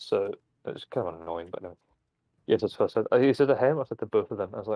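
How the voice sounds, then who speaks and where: A man speaks very fast, his loudness swinging widely. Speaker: gaming streamer. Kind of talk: casual chat. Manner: fast, halting.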